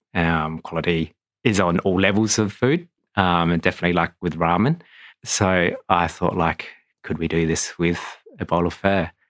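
A man speaks with a very deep, low pitch and fairly even intonation at a moderate pace. The sound is dry and close with no echo, on a very clean recording with a silent background. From Australia (Adelaide). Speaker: restaurant owner. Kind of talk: interview. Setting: studio.

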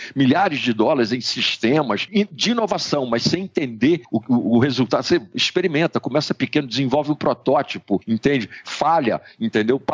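With hardly any pauses, a man of fairly high pitch speaks at a moderate pace with lively intonation and very even loudness. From Brazil, Rio de Janeiro. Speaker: digital strategy consultant. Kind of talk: interview. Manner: halting, many fillers.

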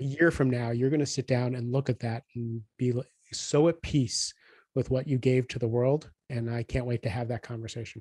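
The voice is somewhat breathy with a dark, mellow tone and fairly even intonation, recorded dry and close with no echo. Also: man, medium pitch for a man, moderate pace. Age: 50s. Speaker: executive coach and author. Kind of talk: interview conversation.

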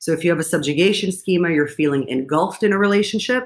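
A woman speaks with lively intonation. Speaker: clinical psychologist. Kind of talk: interview.

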